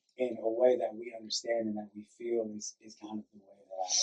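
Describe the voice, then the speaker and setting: Here a man talks at a fairly quick pace. He has an American accent. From US Midwest, Cleveland, Ohio. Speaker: actor. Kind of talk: audience Q&A answer. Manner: halting, many restarts; loud.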